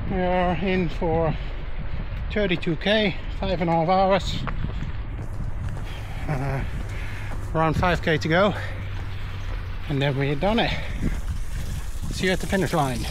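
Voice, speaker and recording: Using high pitch and ordinary pitch variation, a man speaks at a fairly slow pace with long, frequent pauses, the sound dry with no echo but with noticeable background noise. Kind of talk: casual vlog chat. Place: open country. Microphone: phone near.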